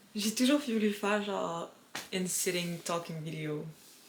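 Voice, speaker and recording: Amid noticeable background noise and audible room echo, a woman speaks very slowly at a medium pitch with ordinary pitch variation. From Quebec. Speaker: vlogger. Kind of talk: casual vlog talk.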